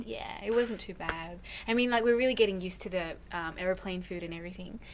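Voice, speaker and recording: Speaking very fast with an Australian accent, a woman at medium pitch is heard over light background noise. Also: ordinary pitch variation, big swings in loudness. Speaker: singer. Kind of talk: interview answer. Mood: cheerful, chatty. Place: home room.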